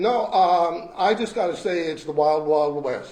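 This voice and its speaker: Over noticeable background noise and audible room echo, a man talks at a very slow pace with lively intonation. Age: 70s. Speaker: retired resident speaking at public comment. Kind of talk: public comment at council meeting. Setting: council meeting room. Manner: blunt, emphatic.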